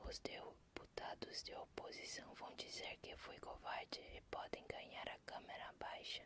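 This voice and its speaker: The pace is very slow. A woman delivers it all in a whisper. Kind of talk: ASMR book reading in Portuguese. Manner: whispered.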